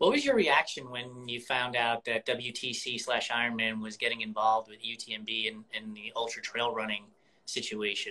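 At a moderate pace, a man with a medium-pitched voice speaks in a monotone, flat intonation, his loudness swinging widely. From New York. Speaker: podcast host. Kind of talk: casual chat. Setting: Instagram live video call.

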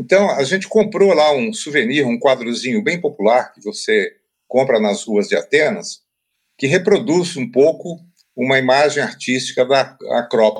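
The speech moves at a fairly slow pace, with very wide pitch swings and big swings in loudness. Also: man, fairly high pitch for a man. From Brazil, interior of Paraná. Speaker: writing teacher and author. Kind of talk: interview. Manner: hesitant, with frequent filler repetitions.

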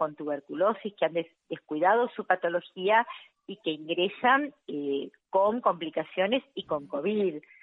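A plain, everyday voice speaks at a fairly slow pace with ordinary pitch variation. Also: woman. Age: 50s. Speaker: health worker. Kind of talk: phone interview.

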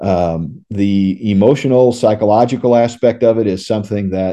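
At a moderate pace, a man talks with a fairly low pitch in an ordinary speaking voice. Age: 60s. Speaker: retired paramedic and educator. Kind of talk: interview.

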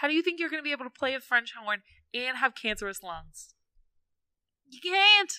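In an American accent, a woman with a high pitch uses a raised, projected voice and a bright, sharp, animated tone, her pitch swinging very widely and her loudness in big swings, talking at a fairly quick pace with long, frequent pauses on a dry, close sound with no echo. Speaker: podcast host. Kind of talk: casual chat, comedic banter. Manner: animated, storytelling.

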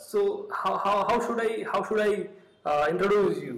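A man's high-pitched voice comes over noticeable background noise. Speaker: podcast host. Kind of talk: podcast interview.

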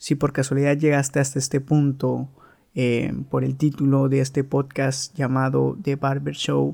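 This man talks fairly slowly in a fairly high voice. His intonation is monotone and flat, with a dark, mellow tone. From Veracruz, Mexico. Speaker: barber and podcast host. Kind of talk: casual podcast monologue.

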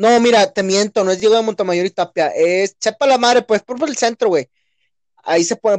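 Fairly quick in delivery, a man speaks with pitch that varies in an ordinary way. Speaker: podcast co-host. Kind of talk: casual chat. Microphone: cheap headset.

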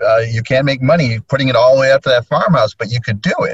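Somewhat breathy, a man's voice sits at a medium pitch. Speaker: realtor, association committee chair. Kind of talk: casual chat. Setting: in a parked car via laptop hotspot. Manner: animated.

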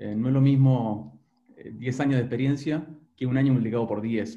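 At a moderate pace, a man speaks in a dark, mellow, somewhat breathy tone with ordinary pitch variation. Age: 50s. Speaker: business consultant and executive coach. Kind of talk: interview.

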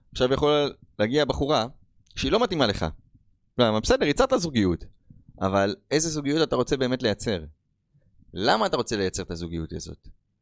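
A man's voice with very wide pitch swings, a fairly quick pace broken by long, frequent pauses, and a dry, close sound with no echo. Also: medium pitch for a man, very clean recording, silent background. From Israel, Rishon LeZion. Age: 30s. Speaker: podcast host. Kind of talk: motivational monologue. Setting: on camera.

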